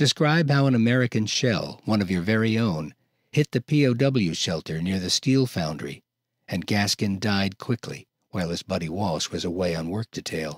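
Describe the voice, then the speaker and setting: Over a very clean, silent background with a dry, close sound with no echo, a man with a plain, everyday voice and a fairly low pitch speaks at a moderate pace with lively intonation. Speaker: audiobook narrator. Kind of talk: audiobook narration of historical nonfiction, demo.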